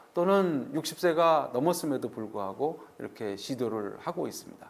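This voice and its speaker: At a moderate pace, a man talks in a fairly high voice with very wide pitch swings. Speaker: orthopedic surgeon and professor. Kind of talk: lecture. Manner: halting, many fillers.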